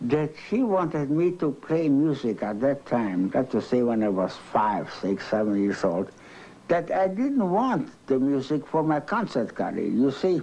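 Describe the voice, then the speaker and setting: The man's voice has a dark, mellow tone and very wide pitch swings. He talks at a fairly slow pace. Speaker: interviewee. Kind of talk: interview answer. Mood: reflective, slightly wistful. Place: home room.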